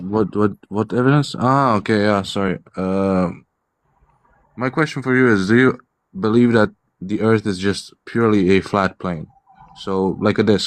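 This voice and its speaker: He has a non-native accent and a fairly low pitch. This man's delivery shows ordinary pitch variation. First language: not English. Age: 20s. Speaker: caller. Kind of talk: heated debate. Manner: fast.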